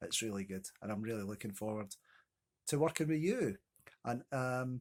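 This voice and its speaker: A man with a Scottish accent speaks at medium pitch and a moderate pace, with ordinary pitch variation. The sound is dry and close with no echo, on a very clean recording with a silent background. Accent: Scottish (Ayrshire). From Scotland, Ayrshire (Kilmarnock). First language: Scots. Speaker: poet. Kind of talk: casual chat to camera.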